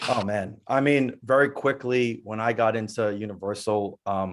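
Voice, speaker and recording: A man's plain, everyday voice, fairly low in pitch, fairly slow and fairly even in intonation. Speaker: music producer. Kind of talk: webinar panel discussion.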